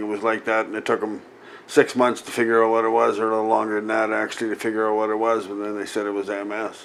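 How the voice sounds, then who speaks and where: In a Canadian prairie accent, a man speaks very fast in a fairly low pitch with monotone, flat intonation. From Saskatchewan, Canada. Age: 60s. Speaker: MS patient, medical cannabis grower. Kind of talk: interview. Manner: hesitant, with filler words.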